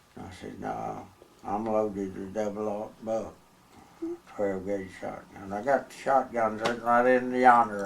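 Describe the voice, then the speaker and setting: Amid audible room echo and noticeable background noise, a man with a Texas accent talks at a fairly slow pace and fairly low pitch, with fairly even intonation and big swings in loudness. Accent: rural Texas drawl. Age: 80s+. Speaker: former bootlegger. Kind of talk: oral history interview. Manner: halting.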